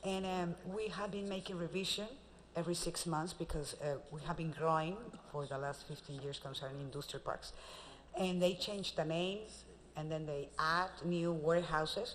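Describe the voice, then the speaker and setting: A woman with a Spanish accent, fairly low in pitch, at a moderate pace and with ordinary pitch variation. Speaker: magazine publisher sales representative. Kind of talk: sales pitch.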